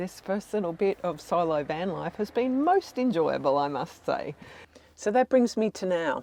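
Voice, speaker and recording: This woman's voice sits fairly low and moves through very wide pitch swings. She keeps a moderate pace. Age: 60s. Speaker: travel vlogger. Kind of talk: vlog monologue to camera.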